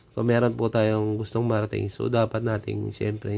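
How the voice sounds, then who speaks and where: A man's dark, mellow voice, fairly low in pitch, with monotone, flat intonation. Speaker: coin collecting vlogger. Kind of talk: casual vlog talk. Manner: polite, frequent filler 'so'.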